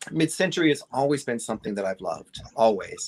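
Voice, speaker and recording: In a dry, close sound with no echo, a man's voice swings very widely in pitch. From upstate New York. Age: 60s. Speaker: guest, vintage collector. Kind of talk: casual chat. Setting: livestream.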